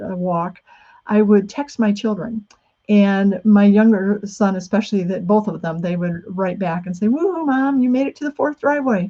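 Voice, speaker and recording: Somewhat breathy and dark, mellow in tone, a woman's medium-pitched voice moves at a moderate pace with ordinary pitch variation. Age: 60s. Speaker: author. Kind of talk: talk. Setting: video call.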